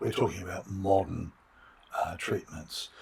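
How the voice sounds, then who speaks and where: Australian accent with noticeable background noise. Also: man. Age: 60s. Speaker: philosophy of biology professor. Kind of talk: interview. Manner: halting, many fillers.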